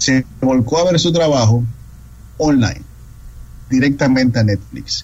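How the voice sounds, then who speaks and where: This man's voice sits at a medium pitch and shifts in an ordinary way. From Dominican Republic. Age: 30s. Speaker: film critic. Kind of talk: interview.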